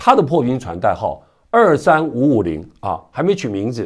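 A man at a fairly slow pace, with very wide pitch swings and vocal fry. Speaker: news commentator. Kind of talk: news commentary. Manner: conversational with many filler particles.

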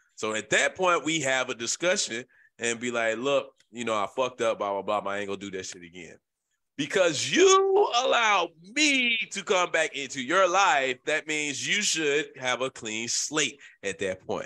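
A man speaks with a Memphis accent in an animated, bright, sharp tone. His pitch swings very widely at a moderate pace. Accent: Southern US, Memphis. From Memphis, Tennessee. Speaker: podcast host. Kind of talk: casual banter podcast chat. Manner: loud, profane, animated.

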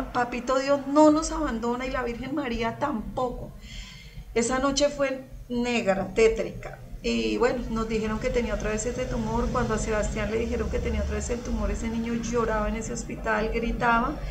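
Against noticeable background noise, a woman speaks in a high pitch with fairly even intonation. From Colombia, Girardot (Cundinamarca); Colombia. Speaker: churchgoer giving testimony; guest. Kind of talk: testimony. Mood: emotional, recounting hardship. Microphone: video call.

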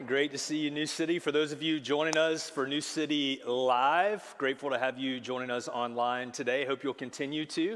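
Speaking at a moderate pace with hardly any pauses, a man keeps his intonation fairly even. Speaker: pastor. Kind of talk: sermon. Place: church.

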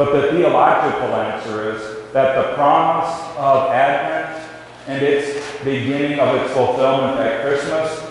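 With strong room echo and light background noise, a man speaks at a fairly slow pace. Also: fairly even intonation. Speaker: minister leading worship. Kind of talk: liturgy and sermon introduction. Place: church.

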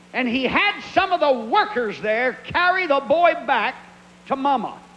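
The voice is raised and projected, moving at a very slow pace with lively intonation. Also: man. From Pennsylvania. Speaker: evangelist preacher. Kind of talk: sermon. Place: church. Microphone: handheld.

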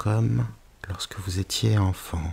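A soothing, somewhat breathy voice moves at a very slow pace. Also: man. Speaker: hypnotherapist. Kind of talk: guided hypnosis with story reading. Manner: slow, soothing; occasional stumbling.

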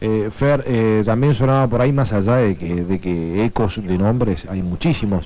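Male speech at a moderate speed, pitch varying in an ordinary way. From Argentina. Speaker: sports radio host. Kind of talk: radio sports talk. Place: studio. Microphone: studio mic.

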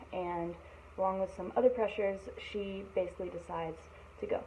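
Fairly even intonation carries speech at a fairly quick pace over light background noise. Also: woman. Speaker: book vlogger. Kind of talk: casual book review monologue. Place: home room. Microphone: phone near.

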